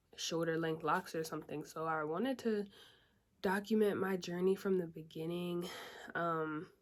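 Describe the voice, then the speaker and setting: Soft-spoken and fairly low-pitched, a woman talks at a moderate pace with fairly even intonation. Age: 20s. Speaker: beauty vlogger. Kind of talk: casual vlog.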